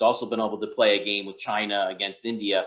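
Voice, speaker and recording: A man with a New York accent, talking at a very fast pace. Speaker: counterterrorism expert. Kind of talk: webinar Q&A. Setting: online webinar.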